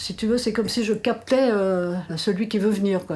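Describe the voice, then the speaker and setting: There's a woman speaking. Her pace is moderate, and background noise is clearly audible. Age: 80s+. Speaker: artist who draws. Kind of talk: interview answer.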